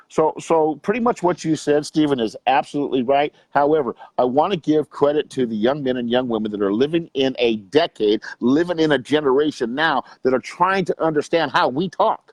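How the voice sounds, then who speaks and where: A man with a normal speaking voice speaks at a fairly quick pace with hardly any pauses, his fairly high pitch carried by lively intonation in a dry, close sound with no echo. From US West Coast, Long Beach, California. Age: 60s. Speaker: youth coach and motivational speaker. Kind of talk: interview.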